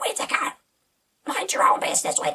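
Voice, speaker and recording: This is a put-on character voice with a raspy sound. It moves at a very fast pace. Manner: creepy, menacing.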